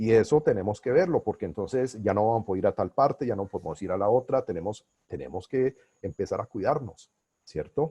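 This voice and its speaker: A somewhat breathy man with a dark, mellow tone and lively intonation, recorded with a dry, close sound and no echo. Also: medium pitch for a man, fairly quick pace. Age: 60s. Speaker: business coach and consultant. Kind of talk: webinar lecture. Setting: online webinar.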